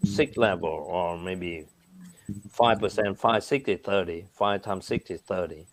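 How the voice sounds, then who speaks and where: Fairly slow and fairly low-pitched, a man with a Vietnamese accent talks with ordinary pitch variation. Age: 60s. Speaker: businessman. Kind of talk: interview answers, explaining. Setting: video call. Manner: animated.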